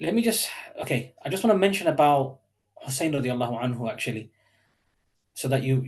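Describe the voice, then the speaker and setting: With a medium pitch, a somewhat breathy man speaks with lively intonation at a fairly quick pace, broken by long, frequent pauses. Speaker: Islamic teacher. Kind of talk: online lecture. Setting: online session with chat. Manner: fast; hesitant, many fillers.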